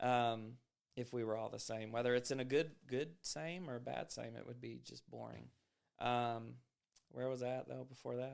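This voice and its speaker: A normal speaking voice from a man, medium in pitch, at a moderate pace with fairly even intonation. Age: 30s. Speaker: podcast host. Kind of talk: casual chat.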